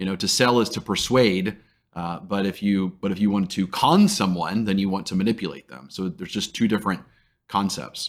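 In a very clean recording with a silent background, a man with an American accent and a plain, everyday voice talks at a fairly quick pace, with fairly low pitch and ordinary pitch variation. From Texas (Dallas). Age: 40s. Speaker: sales trainer and CEO. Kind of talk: interview conversation.

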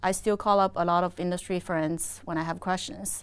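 The speaker has a Chinese accent and a moderate pace, with fairly even intonation. The recording is very clean, with a silent background. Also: woman. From China. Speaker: energy industry executive. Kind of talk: interview.

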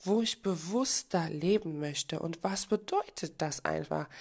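Lively intonation marks this woman's unremarkable speaking voice. She speaks at a fairly slow pace. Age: 30s. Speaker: podcast host and life coach. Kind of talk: motivational monologue.

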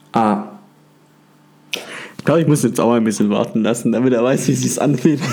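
Amid noticeable background noise, a man talks at a fairly quick pace and medium pitch with ordinary pitch variation, leaving long, frequent pauses. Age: 20s. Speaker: podcast host. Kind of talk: casual chat.

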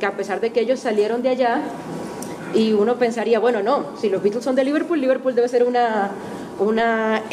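The voice holds a very even loudness and fairly even intonation at a moderate pace, with audible room echo and noticeable background noise. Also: woman. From Venezuela, Maracaibo. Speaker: musician and music teacher. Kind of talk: testimony talk to an audience. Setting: auditorium with audience.

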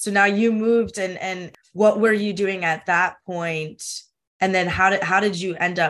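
Using an ordinary speaking voice, a woman talks at a fairly low pitch and fairly slow pace with fairly even intonation. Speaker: podcast host. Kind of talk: interview with scripted intro and ad read.

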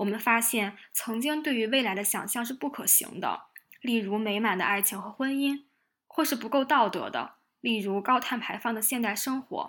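A woman speaks at a moderate pace in a plain, everyday voice, pitched fairly high with ordinary pitch variation. The recording is very clean, with a silent background. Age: 20s. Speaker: podcast host. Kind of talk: reflective solo monologue.

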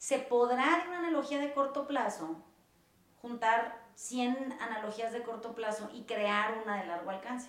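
A woman with a Mexican accent, fairly high-pitched, with ordinary pitch variation and a fairly slow pace, amid noticeable background noise and audible room echo. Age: 40s. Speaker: podcast host, therapist. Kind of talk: casual chat.

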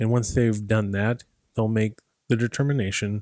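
This man talks at a fairly low pitch with fairly even intonation. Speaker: podcast host. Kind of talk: guided visualization. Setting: podcast, solo. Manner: directive, second-person prompts.

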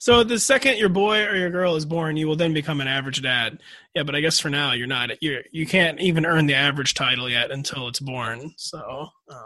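An unremarkable speaking voice from a man with an American accent, fairly high in pitch and fairly quick in pace. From US. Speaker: fantasy football analyst. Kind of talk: casual chat.

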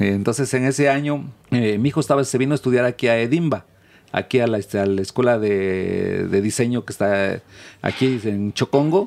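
A man talks at a moderate pace in a normal speaking voice, medium-pitched with lively intonation. The recording is very clean, with a silent background. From Mexico, Oaxaca. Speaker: insect food cooperative producer. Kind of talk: interview.

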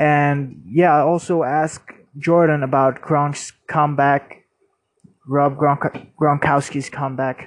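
Very slow and monotone with flat intonation, this man's voice sits at a fairly high pitch. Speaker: podcast host. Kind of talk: casual sports podcast talk. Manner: halting, many fillers.

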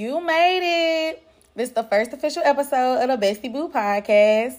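An animated tone in an American accent, very wide pitch swings and a moderate pace. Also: woman. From Dallas, Texas (Pleasant Grove, Oak Cliff, Garland). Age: 30s. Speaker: podcast host. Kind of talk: casual monologue, storytelling. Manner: animated, laughing often.

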